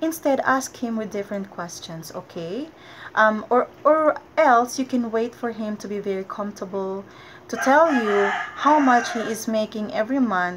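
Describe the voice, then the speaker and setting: Over loud background noise, a woman with a Filipino accent talks at a moderate pace in a fairly high voice with lively intonation. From Philippines. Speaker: vlogger. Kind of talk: casual vlog talk to camera. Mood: friendly, advising. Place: home room. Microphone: webcam.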